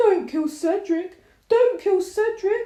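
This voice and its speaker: Using a squeaky, put-on character voice, a woman speaks at an extremely high pitch. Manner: mocking whimpering.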